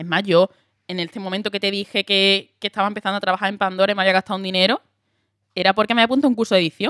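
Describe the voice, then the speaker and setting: Speaking at a very fast pace in an Andalusian accent, a woman sounds animated on a very clean recording with a silent background. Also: medium pitch for a woman, dry, close sound with no echo. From Andalusia, Huelva. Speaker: actress. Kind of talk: casual chat.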